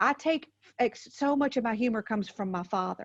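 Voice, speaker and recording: A woman with a Southern US accent talks at a moderate pace with a fairly high pitch and lively intonation. The sound is dry and close with no echo, over a quiet background. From US South. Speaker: motivational speaker and comedian. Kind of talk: podcast interview. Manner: animated.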